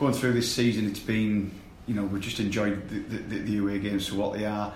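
Someone talks at a fairly quick pace with little pitch movement, and audible room echo surrounds the voice. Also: man, fairly low pitch for a man.

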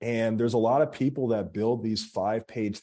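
A man with an American accent has a dark, mellow tone at a medium pitch. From Philadelphia, US. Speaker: marketing agency CEO. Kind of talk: interview.

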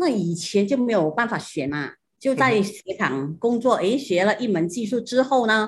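With a fairly high pitch and a somewhat breathy voice, a woman talks at a moderate pace, her pitch swinging very widely. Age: 60s. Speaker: shoemaker, business co-founder. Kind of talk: interview.

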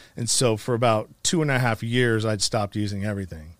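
The pace is moderate. It's an unremarkable speaking voice. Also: man. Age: 40s. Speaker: nonprofit founder and podcaster, formerly incarcerated. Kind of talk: casual interview, personal life story.

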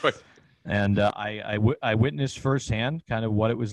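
Over a quiet background, a man talks at a fairly quick pace with a fairly low pitch. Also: dry, close sound with no echo. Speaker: comedian and social media personality. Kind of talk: storytelling interview. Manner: animated.

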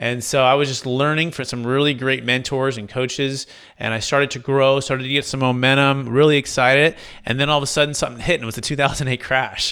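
Talking at a very fast pace, a man with a Californian accent keeps a monotone, flat intonation. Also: medium pitch for a man. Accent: Californian American. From Northern California, Fremont area. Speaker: commercial real estate broker. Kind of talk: podcast interview.

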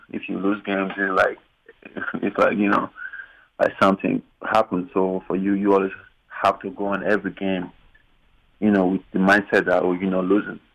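This man's voice is very deep and low. He talks at a fairly quick pace with monotone, flat intonation. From Nigeria. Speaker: professional basketball player. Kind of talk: interview. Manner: hesitant, many fillers.

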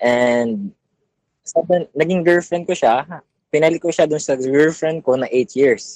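In a Filipino accent, a man talks at a fairly slow pace and a fairly high pitch. His pitch varies in an ordinary way, and the sound is dry and close with no echo. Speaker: caller. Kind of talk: advice call-in.

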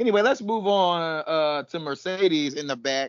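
A man's animated tone and lively intonation at a fairly slow pace. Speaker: podcast co-host. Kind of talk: casual banter, reality TV recap. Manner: animated, laughing.

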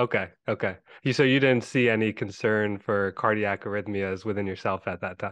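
A man with a plain, everyday voice speaks at a moderate pace, fairly low in pitch with fairly even intonation, in a dry, close sound without echo and a quiet background. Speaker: podcast host, anesthesiology resident. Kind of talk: casual interview.

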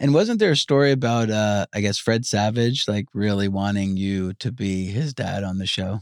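A man with an American accent and fairly low pitch speaks at a moderate pace with hardly any pauses. His pitch varies in an ordinary way, and the sound is dry and close with no echo. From Long Island, New York. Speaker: podcast host. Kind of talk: casual chat. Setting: studio.

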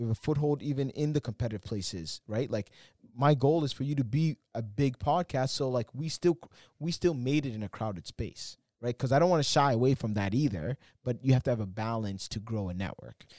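In a dark, mellow tone, a man at medium pitch talks at a fairly quick pace with lively intonation, the sound dry and close with no echo. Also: very clean recording, silent background. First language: not English. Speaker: podcast producer and nightlife entrepreneur. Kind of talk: casual chat.

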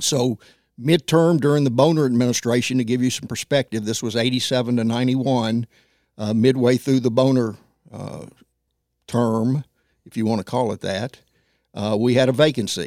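A man with a Tennessee accent and a medium pitch talks at a moderate pace with fairly even intonation and long, frequent pauses, recorded dry and close with no echo on a very clean track with a silent background. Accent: Southern US (Tennessee). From US South, Nashville, Tennessee. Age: 70s. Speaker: former city council member. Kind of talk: casual interview. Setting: studio.

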